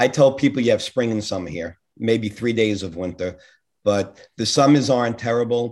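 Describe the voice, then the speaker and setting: A man with a Northeast US accent at a moderate pace, with ordinary pitch variation. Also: medium pitch for a man. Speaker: podcast guest. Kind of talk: casual interview.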